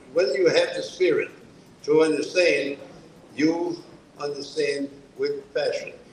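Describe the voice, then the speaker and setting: A man talks over noticeable background noise. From New Brunswick, Canada (French-speaking). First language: French. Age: 70s. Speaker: author. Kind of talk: book presentation talk. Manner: halting.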